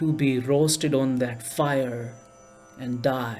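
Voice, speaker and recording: With music in the background and audible room echo, a man with an Indian accent speaks at a very slow pace, fairly high in pitch and with fairly even intonation. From India, New Delhi. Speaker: storyteller. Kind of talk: storytelling performance.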